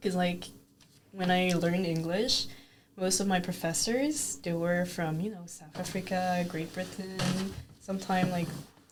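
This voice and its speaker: Over noticeable background noise and audible room echo, a woman talks at a fairly slow pace, her medium pitch held in fairly even intonation. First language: French. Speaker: podcast guest, immigrant student. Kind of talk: casual chat.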